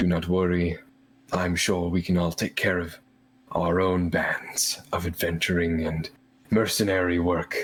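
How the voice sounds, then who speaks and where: A man speaks at a moderate pace in a put-on character voice, very deep and low in pitch, with monotone, flat intonation. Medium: actual play. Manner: formal, polite.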